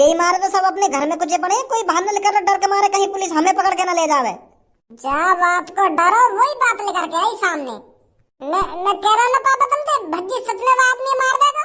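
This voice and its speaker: A woman's cartoonish character voice, extremely high-pitched, fairly quick and full of lively intonation. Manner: rambling, stammering, rustic.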